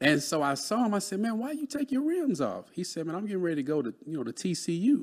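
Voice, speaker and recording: On a very clean recording with a silent background, a man with a high pitch talks very fast with hardly any pauses, his pitch swinging very widely. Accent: Texas. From Texas, Dallas. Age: 30s. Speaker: real estate broker and mentor. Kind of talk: casual interview chat.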